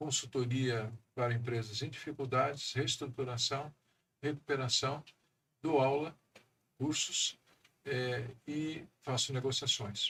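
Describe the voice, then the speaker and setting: At a very slow pace with long, frequent pauses, a man speaks at medium pitch. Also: fairly even intonation. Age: 60s. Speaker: economist and council president. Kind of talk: podcast interview.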